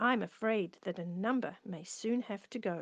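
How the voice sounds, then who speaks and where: Using a gruff, put-on character voice at a medium pitch, a woman speaks at a moderate pace against a quiet background. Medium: read story. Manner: cross, gruff.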